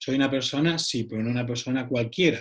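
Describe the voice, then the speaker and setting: A man speaks in an Andalusian accent, his voice somewhat breathy. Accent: Andalusian (Cádiz). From Cádiz, southern Spain. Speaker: psychologist and author. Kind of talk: round-table discussion.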